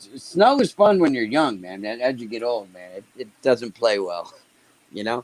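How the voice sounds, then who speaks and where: A man's plain, everyday voice at a medium pitch, with big swings in loudness, lively intonation and a fairly slow pace. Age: 60s. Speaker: regular chat guest. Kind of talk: casual chat.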